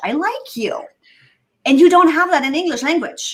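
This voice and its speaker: A woman is speaking. She talks with a German accent. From Germany. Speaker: productivity consultant. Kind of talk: casual chat.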